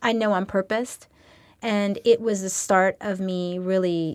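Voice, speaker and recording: A woman with an American accent, a normal speaking voice at medium pitch and fairly even intonation, on a very clean recording with a silent background. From New York City (Queens) and San Francisco Bay Area. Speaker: life coach and former actress. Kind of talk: interview.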